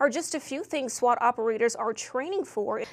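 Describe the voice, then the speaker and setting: Over noticeable background noise, a woman speaks in a high pitch with lively intonation. Her pace is fairly quick. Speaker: TV news reporter and anchor. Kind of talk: broadcast news reporter package voice-over.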